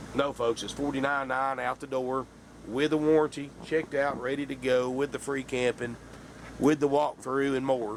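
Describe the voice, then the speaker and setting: A man speaks at a moderate pace. His medium-pitched voice stays monotone and flat. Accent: Southern US. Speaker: RV salesman. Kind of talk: sales pitch. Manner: casual, folksy.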